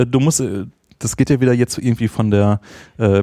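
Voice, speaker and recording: A man with a dark, mellow tone speaks at a medium pitch and fairly quick pace, his intonation fairly even. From Ruhr area, Germany (Essen). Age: 40s. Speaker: podcaster and former librarian. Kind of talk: casual interview. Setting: meetup with large-diaphragm studio mic.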